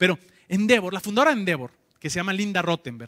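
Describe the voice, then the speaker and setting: A man talks in an animated tone that is bright and sharp, with a high pitch. The background is quiet. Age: 30s. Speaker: entrepreneur, conference speaker; conference speaker. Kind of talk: conference talk. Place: hall. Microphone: handheld.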